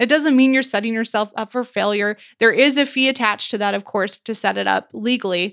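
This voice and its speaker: Heard in a very clean recording with a silent background, a woman speaks at a fairly quick pace with hardly any pauses and ordinary pitch variation, a normal speaking voice. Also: fairly high pitch for a woman. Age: 30s. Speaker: financial coach. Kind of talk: casual chat.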